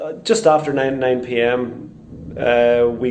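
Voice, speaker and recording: With a Northern Irish accent, a man of medium pitch speaks over noticeable background noise, and room echo is audible. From Northern Ireland, Portadown. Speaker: crime victim interviewee. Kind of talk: testimony.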